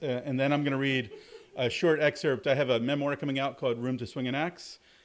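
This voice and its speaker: In a very clean recording with a silent background, a man with an American accent speaks at a fairly high pitch. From US South, southern Alabama. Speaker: university lecturer and author. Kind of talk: public talk at a store event. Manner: many fillers and repetitions; loud.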